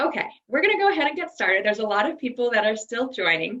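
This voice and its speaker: With lively intonation, a woman speaks in a high pitch with an American accent. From New York, US. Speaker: corporate trainer. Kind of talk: webinar presentation. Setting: video call from home office.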